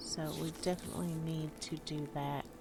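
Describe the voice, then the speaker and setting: Soft-spoken and relaxed in tone, a woman talks at a very slow pace with a very deep, low pitch. Her intonation is fairly even, and noticeable background noise sits behind her. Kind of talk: casual gameplay commentary, ASMR. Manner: soft-spoken, relaxed.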